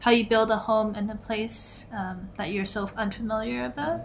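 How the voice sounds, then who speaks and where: With an unremarkable speaking voice, a woman talks at a fairly high pitch and moderate pace with ordinary pitch variation. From Canada, Toronto. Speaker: illustrator. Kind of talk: interview.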